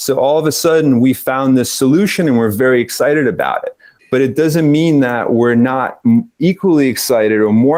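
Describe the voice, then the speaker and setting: In a US East Coast accent, a man talks at a fairly quick pace with hardly any pauses, using a medium pitch and ordinary pitch variation. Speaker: cannabis business consultant. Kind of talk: interview.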